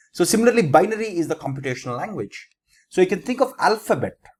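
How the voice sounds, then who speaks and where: A man speaks with an Indian accent and very wide pitch swings. The sound is dry and close, with no echo. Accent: Indian English (Telugu). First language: Telugu. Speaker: teacher. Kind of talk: lecture. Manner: halting, self-correcting.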